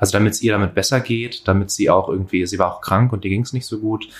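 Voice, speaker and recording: On a very clean recording with a silent background, a man speaks in a fairly low, somewhat breathy voice. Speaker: podcast co-host. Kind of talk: conversational discussion. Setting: home kitchen with open window.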